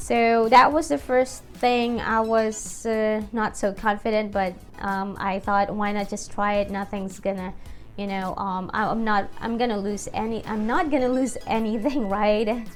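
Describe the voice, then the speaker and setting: With a Filipino accent, a woman speaks at a fairly high pitch and fairly slow pace with fairly even intonation, over music in the background and audible room echo. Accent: Filipino accent, noticeable. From Philippines. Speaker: YouTuber and teacher. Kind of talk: casual vlog talk. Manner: hesitant, many fillers.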